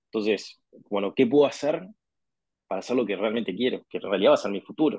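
With a Uruguayan accent, a man talks at a medium pitch using ordinary pitch variation. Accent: Rioplatense Spanish (Uruguayan). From Uruguay, Montevideo. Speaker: sports marketing executive. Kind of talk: interview conversation.

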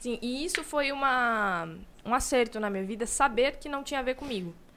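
Delivered at a fairly quick pace, the speech has lively intonation. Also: woman. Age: 20s. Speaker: law master's student. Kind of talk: casual chat.

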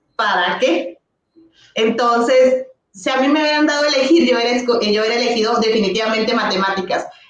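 A woman with an ordinary speaking voice, fairly high in pitch, talks at a moderate pace with ordinary pitch variation. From northern Mexico, Ciudad Juárez. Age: 30s. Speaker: primary school teacher and content creator. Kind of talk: casual chat. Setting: live stream.

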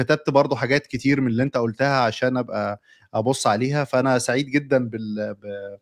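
An unremarkable speaking voice moves at a fairly quick pace with hardly any pauses and fairly even intonation. The recording is very clean and dry, with a close sound, no echo and a silent background. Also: man, medium pitch for a man. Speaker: podcast host. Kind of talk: interview.

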